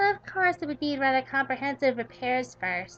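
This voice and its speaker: Faint music plays in the background behind a put-on character voice delivered at a moderate pace. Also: woman. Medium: solo performance. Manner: formal, articulate, precise.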